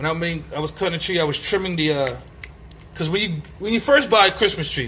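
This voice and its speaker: The tone is animated and the pace very fast. Noticeable background noise runs throughout. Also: man. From Brooklyn, New York City. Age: 30s. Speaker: podcaster. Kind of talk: casual monologue.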